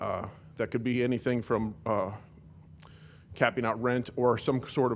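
A man at a medium pitch, fairly quick pace and monotone, flat intonation. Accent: American. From California. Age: 40s. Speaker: member of the public at a council meeting. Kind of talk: public comment. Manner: halting, many fillers.

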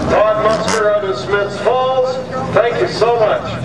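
Loud background noise fills the recording, and the room echo is clearly audible. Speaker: track announcer. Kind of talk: live race commentary over the track PA. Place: stadium.

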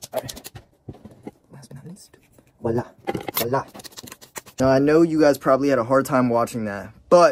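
Pausing long and often at a moderate pace, a man speaks with big swings in loudness, in a dry sound with no echo and light background noise. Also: ordinary pitch variation. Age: 20s. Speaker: YouTuber. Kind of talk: casual vlog narration. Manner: animated.

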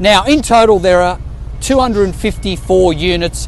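A man speaks very slowly in an Australian accent. The sound is dry with no echo, over light background noise. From Sydney, Australia. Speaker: real estate agent; presenter. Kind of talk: local history presentation to camera. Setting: outdoors. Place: street. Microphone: phone near.

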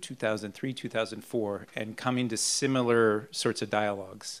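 A man's voice with fairly even intonation. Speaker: panelist. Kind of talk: panel discussion answer. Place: hall. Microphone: handheld.

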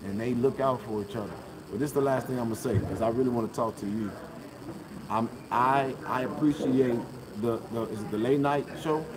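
A man speaks with long, frequent pauses. Noticeable background noise runs underneath. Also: moderate pace. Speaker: independent journalist. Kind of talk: public comment at a meeting. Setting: meeting hall with live audience. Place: hall. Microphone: phone near.

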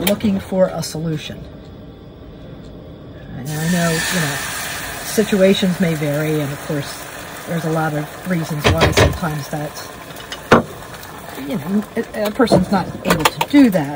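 Against loud background noise, a woman with a fairly low pitch talks at a moderate pace, with long, frequent pauses. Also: ordinary pitch variation. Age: 60s. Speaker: solo van-life traveler. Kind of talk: casual talk to camera, vlog. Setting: outdoors in a van. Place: car. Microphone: camera far.

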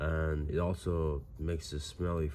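Noticeable background noise sits behind a man's very deep, low voice. His intonation is monotone and flat. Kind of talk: casual vlog chat. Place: home room. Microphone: phone near.

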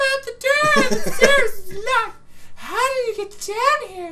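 Using a put-on character voice at an extremely high pitch, the speaker goes at a fairly slow pace over light background noise. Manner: mighty, manly, gruff.

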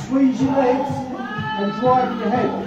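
Clear music plays behind a man whose voice carries audible room echo. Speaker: martial arts instructor. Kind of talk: class demonstration instruction. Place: gym. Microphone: camera far.

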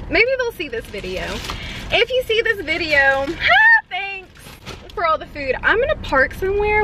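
This woman's voice is extremely high-pitched and swings very widely in pitch. The sound is dry with no echo, and there is noticeable background noise. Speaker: vlogger. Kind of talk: casual vlog chat. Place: car. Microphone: phone near.

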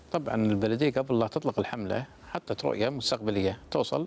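A man speaks at a medium pitch and a moderate pace. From Kuwait. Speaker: municipal government official; guest. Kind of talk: TV interview. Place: studio. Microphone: lapel.

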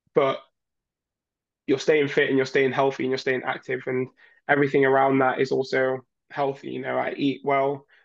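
Quiet surroundings behind a male speaker. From northern England, Leeds; northern England. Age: 20s. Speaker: Olympic diver. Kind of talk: interview. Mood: warm, encouraging. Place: home room. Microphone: webcam.

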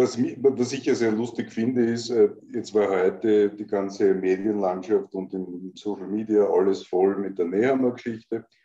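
A man's fairly low, dark, mellow voice with fairly even intonation at a fairly slow pace, with audible room echo and a quiet background. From Austria. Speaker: political commentator and show host; political commentator, show host. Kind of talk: casual political talk show chat. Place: home room. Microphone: video call.

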